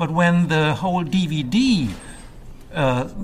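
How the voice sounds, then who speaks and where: Noticeable background noise beneath a male voice of fairly high pitch. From Germany. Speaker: film noir website creator. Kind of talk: casual interview. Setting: recorded in a theater mezzanine with background noise.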